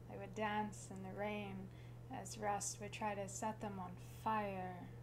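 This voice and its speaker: Over noticeable background noise, a woman speaks at a very slow pace with very wide pitch swings. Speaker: slam poet. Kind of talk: slam poetry performance. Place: home room. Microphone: camera far.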